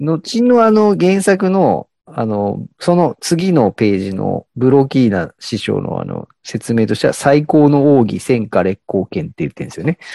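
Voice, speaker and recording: A man with a fairly high pitch and a dark, mellow tone talks at a fairly slow pace with hardly any pauses. His pitch swings very widely, and the sound is dry and close with no echo. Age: 30s. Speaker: podcast co-host. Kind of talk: casual chat. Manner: hesitant, many fillers.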